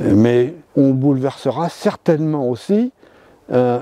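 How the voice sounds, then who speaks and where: On a very clean recording with a silent background, a man with a medium pitch and a dark, mellow tone sounds dry and close with no echo. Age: 70s. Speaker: amateur mycologist, association president. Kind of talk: documentary interview. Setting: outdoors in a forest. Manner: hesitant, with many fillers.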